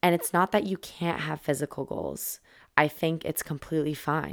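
A woman speaks in a very deep, low pitch with an animated tone. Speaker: podcast host. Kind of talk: casual monologue podcast.

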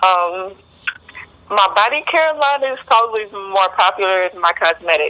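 In a normal speaking voice, a woman with an American accent talks at a moderate pace and medium pitch, with lively intonation and big swings in loudness. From Texas, Beaumont. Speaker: military veteran and skincare entrepreneur. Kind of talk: interview.

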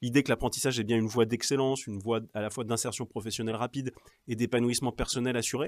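A man at a very fast pace and medium pitch, very clean, with a silent background and a dry, close sound with no echo. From Normandy (Cherbourg, Cotentin). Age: 40s. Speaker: regional politician. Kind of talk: interview.

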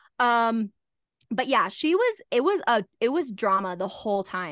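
A woman speaks in an animated tone with lively intonation and a fairly high pitch. The sound is dry and close with no echo, over a quiet background. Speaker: podcast co-host. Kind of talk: casual chat.

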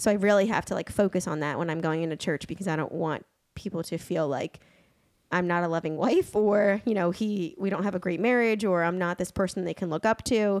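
An ordinary speaking voice from a woman, medium in pitch with ordinary pitch variation, at a fairly quick pace on a very clean recording with a silent background. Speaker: host's wife, guest. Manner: fast talker.

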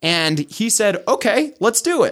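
A man talks with a Utah accent. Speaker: life coach. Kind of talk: casual interview chat. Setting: studio.

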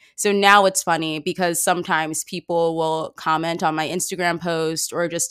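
On a very clean recording with a silent background, a woman with a fairly low pitch speaks at a moderate pace in a normal speaking voice. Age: 20s. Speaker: podcaster. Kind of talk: casual interview chat.

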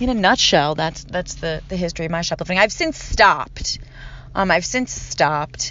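At a moderate pace, the speaker uses ordinary pitch variation with an American accent. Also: woman, fairly low pitch for a woman. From Philadelphia, US. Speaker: podcast host. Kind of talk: casual monologue. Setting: in a parked car.

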